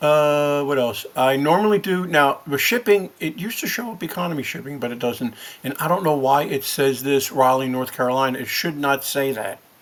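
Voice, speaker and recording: With noticeable background noise behind him, a man with a fairly high pitch talks at a fairly quick pace with lively intonation and hardly any pauses. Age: 60s. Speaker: eBay reseller, video creator. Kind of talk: tutorial. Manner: casual, hesitant with many fillers.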